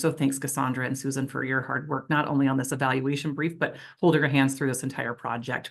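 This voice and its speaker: A woman's very deep, low pitch at a very fast pace, monotone and flat in intonation, over a quiet background. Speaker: nonprofit executive director. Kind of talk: conference presentation.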